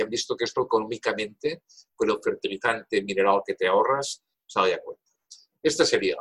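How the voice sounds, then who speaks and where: The delivery is very fast, with big swings in loudness and a dry, close sound with no echo. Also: man. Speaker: professor emeritus of environmental engineering. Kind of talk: interview.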